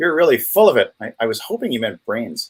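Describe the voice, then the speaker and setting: This man has a New England accent. He talks at a fairly quick pace. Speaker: co-host of live stream. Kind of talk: casual chat.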